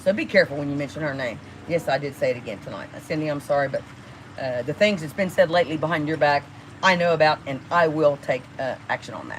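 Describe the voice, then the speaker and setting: Over noticeable background noise, a woman talks very fast in a very deep, low voice, with ordinary pitch variation and big swings in loudness. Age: 60s. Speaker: livestreamer. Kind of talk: casual livestream rant. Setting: live stream. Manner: animated.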